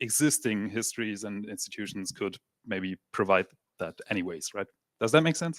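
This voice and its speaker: A man with a non-native accent speaks in a fairly low pitch with ordinary pitch variation, heard in a dry, close sound with no echo. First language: not English. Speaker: audience member asking question. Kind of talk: audience question. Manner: halting.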